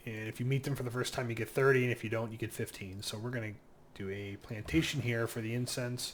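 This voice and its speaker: At a fairly quick pace, a man talks in a somewhat breathy, medium-pitched voice with ordinary pitch variation. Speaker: gaming youtuber. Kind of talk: gameplay commentary. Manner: fast; casual, filler-heavy.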